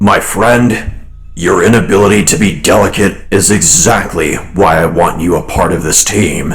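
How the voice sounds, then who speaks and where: Using a put-on character voice with a very deep, low pitch, a man speaks at a moderate pace amid noticeable background noise. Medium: actual play. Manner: measured, formal, dignified.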